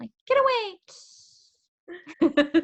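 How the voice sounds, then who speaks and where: The speaker uses a put-on character voice that is squeaky and high-pitched. Hissing can be heard. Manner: meek, timid.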